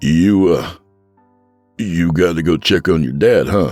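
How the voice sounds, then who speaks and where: Using a put-on character voice, a man speaks raspy and very deep, with a very low pitch, at a fairly slow pace. Faint music plays in the background. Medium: read story. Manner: nervous, halting.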